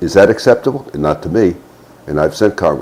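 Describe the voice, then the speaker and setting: This man has an American accent and a dark, mellow tone with vocal fry. He talks fairly fast, and his pitch swings very widely. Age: 70s. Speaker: retired army officer. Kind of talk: political commentary monologue. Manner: halting.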